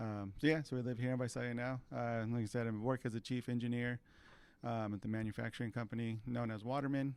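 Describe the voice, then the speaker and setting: In a Californian accent, a man speaks at a fairly quick pace and medium pitch with monotone, flat intonation on a very clean recording with a silent background. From California Central Valley, Tulare. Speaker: mechanical engineer. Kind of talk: interview. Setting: studio.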